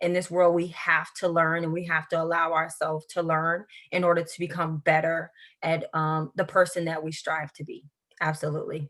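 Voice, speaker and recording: A woman's fairly low voice in a Southern US accent, monotone and flat, at a moderate pace. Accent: Southern US country. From US South, central Florida (Highlands County). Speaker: educator with a doctorate, interview guest. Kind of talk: interview.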